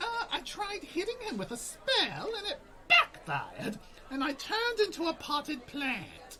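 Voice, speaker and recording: Over clear background noise, a man does a put-on character voice at an extremely high pitch, with very wide pitch swings and a moderate pace. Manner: rambling, energetic.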